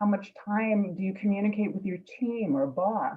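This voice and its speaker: Speaking in a New York accent, the woman's voice sits at a medium pitch. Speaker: instructor. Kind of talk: presentation in online meeting.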